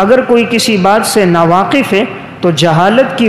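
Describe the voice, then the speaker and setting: A man is heard over noticeable background noise. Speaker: Islamic scholar giving a sermon. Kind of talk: Friday sermon (bayan) in Urdu.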